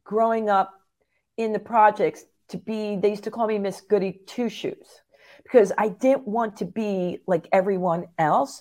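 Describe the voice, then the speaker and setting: The speaker has an American accent and a fairly slow pace. The recording is very clean, with a silent background. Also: woman. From New Jersey, US (Phillipsburg). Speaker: gym owner. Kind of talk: casual chat.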